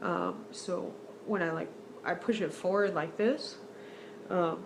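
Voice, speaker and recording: With background noise clearly present, her mid-range voice shows normal pitch movement. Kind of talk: casual talk to camera. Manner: hesitant, many fillers.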